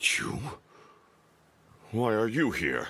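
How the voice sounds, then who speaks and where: A man puts on a character voice at a medium pitch. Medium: video game.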